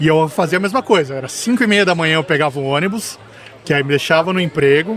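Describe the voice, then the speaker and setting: Very fast speech from a man with a fairly high pitch, ordinary pitch variation, and noticeable background noise behind him. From Brazil, São Paulo coast. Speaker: podcast host. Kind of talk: casual interview.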